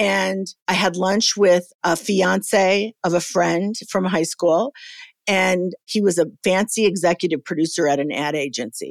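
A woman's medium-pitched voice, a normal speaking voice, at a fairly slow pace with ordinary pitch variation, dry and close with no echo, in a very clean recording with a silent background. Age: 60s. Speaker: TV producer and entrepreneur. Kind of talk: interview.

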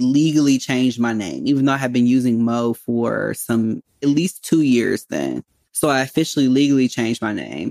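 This man has a plain, everyday voice with an American accent, medium pitch, ordinary pitch variation and a moderate pace. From US Midwest, Chicago south side. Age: 30s. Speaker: therapist. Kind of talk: interview.

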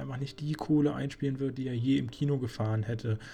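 This man's voice sits at a medium pitch with ordinary pitch variation. His tone is dark and mellow and somewhat breathy. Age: 20s. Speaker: film critic podcaster. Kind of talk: solo film review monologue. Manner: hesitant, frequent fillers.

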